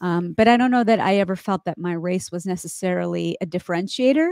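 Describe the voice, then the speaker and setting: A woman with an American accent has an unremarkable speaking voice at a medium pitch, talking at a fairly quick pace with ordinary pitch variation. The recording is very clean with a silent background and a dry, close sound with no echo. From US, central Pennsylvania. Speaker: TV journalist. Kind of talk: interview.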